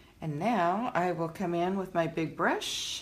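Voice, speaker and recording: Noticeable background noise runs behind a woman's fairly low voice. She speaks at a fairly slow pace. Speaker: painter and video blogger. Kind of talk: casual video blog, painting tutorial. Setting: home studio, painting on camera. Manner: casual, chatty, halting with fillers.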